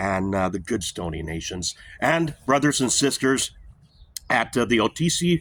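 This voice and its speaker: A man speaks with very wide swings in pitch. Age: 60s. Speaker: podcaster. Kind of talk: casual monologue. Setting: outdoors in backyard. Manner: hesitant, many fillers.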